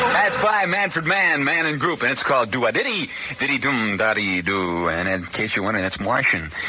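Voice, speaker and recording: Over noticeable background noise, a man with an American accent talks fairly quickly at a medium pitch, his pitch swinging very widely while his loudness stays very even. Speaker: radio disc jockey. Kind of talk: late-night radio DJ talk.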